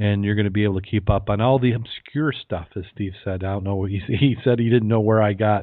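An unforced reading voice carries the clip. Nothing about the reading is pushed.

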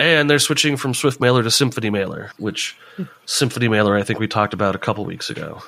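A man with a fairly low pitch talks fast in a bright, sharp tone with vocal fry and ordinary pitch variation.

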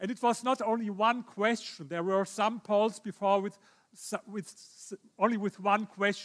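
A man with a German accent speaks at a high pitch and a moderate pace. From Germany. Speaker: historian and author. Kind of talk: lecture. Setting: stage with audience.

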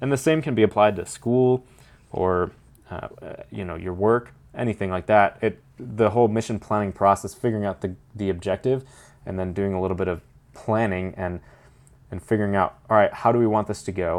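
A man speaks in a normal speaking voice at a fairly quick pace. His pitch is fairly low, with ordinary variation. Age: 30s. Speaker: fighter pilot. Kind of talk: casual chat.

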